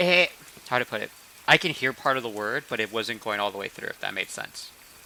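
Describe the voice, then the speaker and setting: Over noticeable background noise, a man speaks fairly quickly with lively intonation. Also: medium pitch for a man. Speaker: game master of tabletop role-play stream. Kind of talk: casual chat. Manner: fast.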